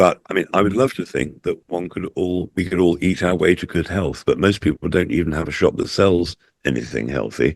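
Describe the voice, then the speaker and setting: A man with a very deep, low pitch and vocal fry talks at a fairly quick pace with hardly any pauses and ordinary pitch variation, in a dry, close sound with no echo against a quiet background. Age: 70s. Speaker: natural health supplement advocate. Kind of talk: podcast interview.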